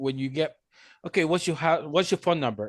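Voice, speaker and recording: A man speaks with a Spanish accent. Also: quiet background. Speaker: podcast co-host. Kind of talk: casual chat.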